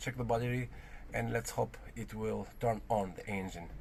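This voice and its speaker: Moderate pace with an Albanian accent. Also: man. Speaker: car restoration vlogger. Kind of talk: casual vlog. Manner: halting.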